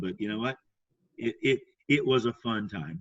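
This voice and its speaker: A man is speaking. His pace is moderate. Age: 60s. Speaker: sales trainer and speaker. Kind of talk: casual chat. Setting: podcast interview.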